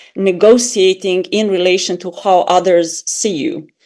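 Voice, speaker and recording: A woman talks with a Serbian accent. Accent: foreign accent (Serbian). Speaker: academic author. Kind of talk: academic panel discussion. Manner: hesitant, with fillers.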